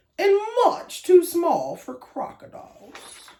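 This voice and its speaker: An extremely high-pitched put-on character voice from a woman, at a fairly slow pace. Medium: read story.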